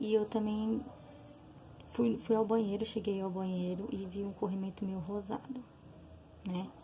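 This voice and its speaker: A soft-spoken woman of medium pitch with ordinary pitch variation at a fairly slow pace. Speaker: vlogger sharing personal health experience. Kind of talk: personal testimony. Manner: soft-spoken, talking quietly; hesitant, many fillers.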